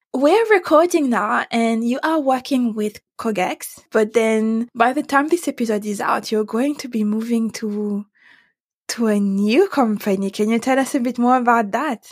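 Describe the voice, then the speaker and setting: On a very clean recording with a silent background, a woman with a French accent speaks at a moderate pace. Her pitch is fairly high, with ordinary variation. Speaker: podcast host. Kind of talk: interview.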